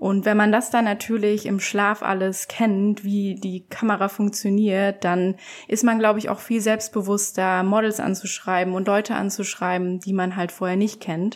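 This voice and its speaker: With hardly any pauses, a woman talks at a moderate pace and medium pitch in a monotone, flat intonation, on a very clean recording with a silent background. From eastern Germany, Leipzig. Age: 20s. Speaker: photographer. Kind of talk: podcast interview.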